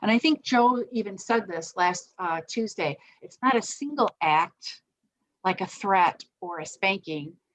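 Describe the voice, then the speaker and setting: A woman talks at a fairly slow pace and a medium pitch, with lively intonation. The sound is dry and close, with no echo. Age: 60s. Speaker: parenting educator. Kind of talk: online parenting workshop talk. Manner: halting, many fillers.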